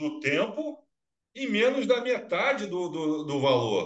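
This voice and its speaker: Here a man speaks with a high pitch. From Minas Gerais, Brazil. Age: 50s. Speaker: business show host. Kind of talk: interview. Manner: animated.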